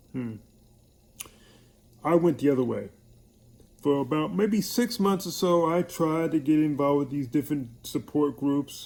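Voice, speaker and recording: With a New York accent, a man speaks at a moderate pace. His voice is fairly high in pitch with a dark, mellow tone. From New York (Hollis, Queens). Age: 60s. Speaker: military veteran with MS. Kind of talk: personal video message.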